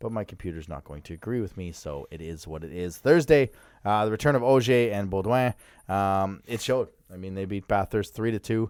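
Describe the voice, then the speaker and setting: Talking at a fairly quick pace, a man with an unremarkable speaking voice has a fairly low pitch and ordinary pitch variation. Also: very clean recording, silent background. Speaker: hockey podcast co-host. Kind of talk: casual sports chat. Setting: studio.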